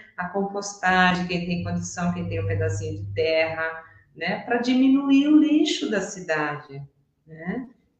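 A woman speaks at a fairly slow pace with big swings in loudness. Audible room echo surrounds her voice. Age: 60s. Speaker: systemic therapist. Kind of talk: casual interview.

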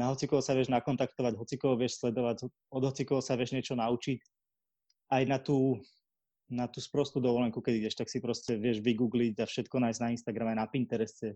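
Speaking very fast in a flat monotone, a man with a dark, mellow, medium-pitched voice sounds dry and close with no echo against a quiet background. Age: 20s. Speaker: marketer and podcaster. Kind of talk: casual interview.

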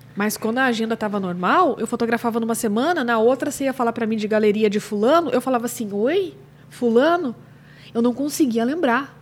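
In a normal speaking voice, a woman with fairly high pitch talks at a fairly quick pace, her pitch varying in an ordinary way. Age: 40s. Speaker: newborn and family photographer, podcast co-host. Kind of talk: casual chat.

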